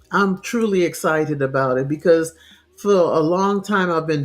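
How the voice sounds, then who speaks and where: Music plays in the background. A woman speaks with a very deep, low pitch and fairly even intonation. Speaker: natural health show host. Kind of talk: health talk show with live chat. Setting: internet radio live show.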